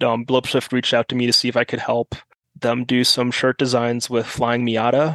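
This is a man speaking. He has an American accent. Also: dry, close sound with no echo. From Germany. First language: German. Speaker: car enthusiast. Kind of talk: casual chat.

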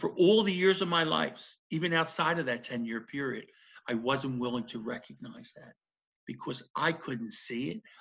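The tone is bright and sharp, with very wide pitch swings and a Philadelphia accent. The pace is moderate. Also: man. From South Philadelphia. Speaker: former federal prisoner. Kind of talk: interview testimony.

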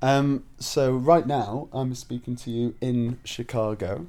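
The voice has a dark, mellow tone and a Yorkshire accent. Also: man. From northern England, Leeds, Yorkshire. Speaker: stage actor. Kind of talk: casual video blog. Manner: hesitant, many fillers.

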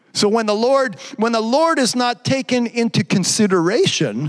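Over noticeable background noise, a man talks with a high pitch and lively intonation. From Quebec. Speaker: pastor. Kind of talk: live-streamed Pentecostal-style sermon, exhortation with scripture teaching. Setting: church service, live stream. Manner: repetitive restarts and stumbles, builds in intensity.

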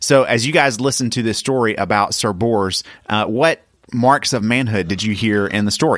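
A man with an unremarkable speaking voice, medium pitch and moderate pace. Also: ordinary pitch variation. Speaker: podcast host and dad. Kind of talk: casual family chat.

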